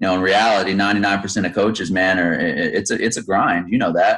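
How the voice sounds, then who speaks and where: A man's fairly low voice in an American accent, fairly quick in pace, an ordinary speaking voice. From Texas, Victoria. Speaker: high school basketball coach. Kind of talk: casual interview. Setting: video call from apartment.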